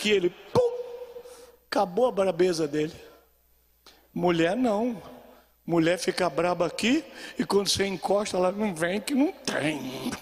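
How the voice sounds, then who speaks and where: A man's high voice with lively intonation, at a fairly slow pace with long, frequent pauses. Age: 70s. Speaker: pastor. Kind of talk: sermon. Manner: animated.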